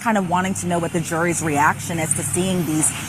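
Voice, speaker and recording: Speech comes at a fairly quick pace while noticeable background noise carries on behind it. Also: woman. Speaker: court reporter. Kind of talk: news report. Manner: fast.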